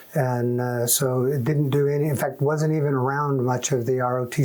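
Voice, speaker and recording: Over noticeable background noise, a man talks very fast at a medium pitch with a flat, monotone delivery. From US, moved often (Michigan, Massachusetts, California). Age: 60s. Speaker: Air Force veteran. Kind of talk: oral history interview. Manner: casual, with frequent fillers.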